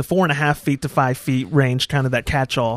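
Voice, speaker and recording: Dry, close sound with no echo carries a normal speaking voice delivered with fairly even intonation. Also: man. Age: 20s. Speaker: podcast host. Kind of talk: casual chat.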